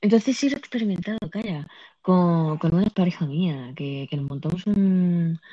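A woman speaks at a moderate pace in a fairly low pitch, her tone dark, mellow and somewhat breathy. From Andalusia, Spain. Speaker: podcast host and streamer. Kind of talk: casual chat. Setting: live audio app on phone.

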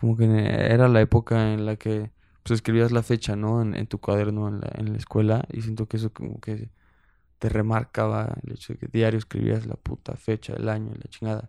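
A man speaks in a dark, mellow tone at a fairly low pitch and moderate pace. His intonation is flat and monotone, and the sound is dry and close with no echo. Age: 20s. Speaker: podcast host. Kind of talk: casual chat. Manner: relaxed.

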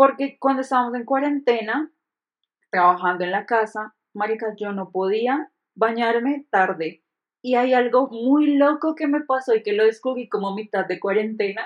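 Her voice is an unremarkable speaking voice, a woman's at a fairly high pitch, with ordinary pitch variation and a moderate pace. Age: 30s. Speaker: podcast co-host. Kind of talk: casual chat.

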